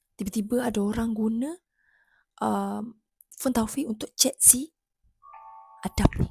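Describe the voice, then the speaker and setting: Over music in the background, a woman with a fairly high pitch and ordinary pitch variation speaks at a fairly slow pace with long, frequent pauses, in a dry, close sound with no echo. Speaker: YouTuber. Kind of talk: reaction video narration. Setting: home, early morning.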